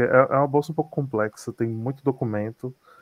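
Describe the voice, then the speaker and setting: Fairly quick speech from a man at medium pitch. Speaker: graduate student abroad. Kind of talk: interview testimony. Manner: halting.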